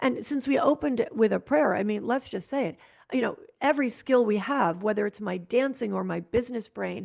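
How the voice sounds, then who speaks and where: A lively, fairly quick delivery in an American accent, with vocal fry. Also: woman. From Connecticut, US. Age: 60s. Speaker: real estate broker and ballroom dancer. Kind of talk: interview conversation.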